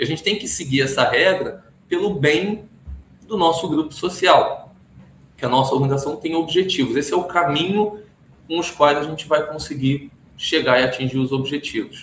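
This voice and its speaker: The man has an unremarkable speaking voice, fairly high in pitch with ordinary pitch variation, and he keeps a moderate pace. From Brazil. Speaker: compliance consultant. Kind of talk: interview. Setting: office.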